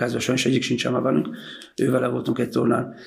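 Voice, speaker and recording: His pitch sits in the middle range for a man. A creaky vocal fry colors his speech. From Hungary, Zala county (Kiskanizsa). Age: 60s. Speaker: ice cream shop owner and former football coach. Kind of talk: casual interview.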